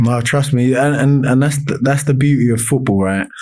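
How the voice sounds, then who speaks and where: A man with a London accent, a dark, mellow tone and fairly even intonation. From South East London, Lewisham. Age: 30s. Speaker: semi-professional footballer. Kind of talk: casual chat. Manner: loud.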